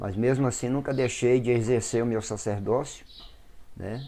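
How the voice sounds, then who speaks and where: Dark, mellow tone from a man at a medium pitch. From Brazil, Brasília / Goiás region. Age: 60s. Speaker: Afro-Brazilian religious priest. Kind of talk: interview testimony.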